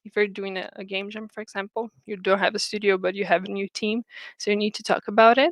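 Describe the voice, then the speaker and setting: A woman with a Portuguese accent, in a very clean recording with a silent background and a dry, close sound with no echo. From Brazil. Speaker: game producer / project management speaker. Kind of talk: lecture. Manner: halting, many fillers and repetitions.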